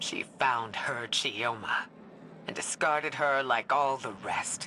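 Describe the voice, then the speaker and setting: A put-on character voice whispers. The pace is fairly slow. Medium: video game. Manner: emotional, resolute.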